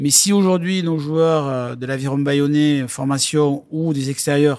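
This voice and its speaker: A man with a normal speaking voice speaks at a fairly high pitch and a fairly slow pace. The recording is very clean, with a silent background. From southwest France, Lourdes (Hautes-Pyrénées). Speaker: rugby club president. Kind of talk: interview. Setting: in a stadium stand.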